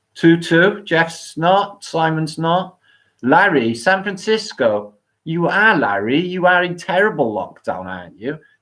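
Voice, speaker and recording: Someone speaks at a fairly slow pace with a Welsh accent. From Wales. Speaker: live stream host. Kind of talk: live stream chat with viewers. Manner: slurred, sounds drunk.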